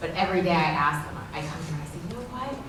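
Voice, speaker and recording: Noticeable background noise and audible room echo both fill the clip. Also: woman. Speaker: TV news anchor and panel moderator. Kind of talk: event moderation. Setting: school auditorium with audience.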